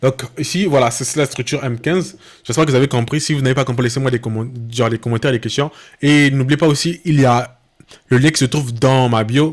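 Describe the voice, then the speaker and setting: Speech comes at a fairly quick pace with fairly even intonation. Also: man, medium pitch for a man. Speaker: trading educator. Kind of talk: tutorial. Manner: fast; halting.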